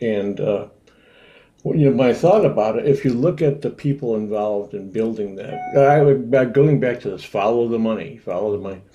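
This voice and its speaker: A man at medium pitch with ordinary pitch variation and a moderate pace, music in the background. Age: 70s. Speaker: ocean explorer. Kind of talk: interview. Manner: halting.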